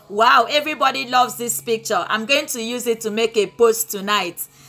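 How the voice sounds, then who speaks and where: A woman's fairly high voice with ordinary pitch variation at a moderate pace, music in the background. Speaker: pastor. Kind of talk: live-streamed sermon and chat. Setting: live online broadcast.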